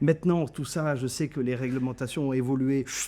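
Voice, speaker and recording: The voice has a dark, mellow tone and speaks with a German accent. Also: man. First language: German (speaking French). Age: 60s. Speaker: trade journalist, editor-in-chief. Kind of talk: interview. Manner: hesitant, many fillers and repetitions.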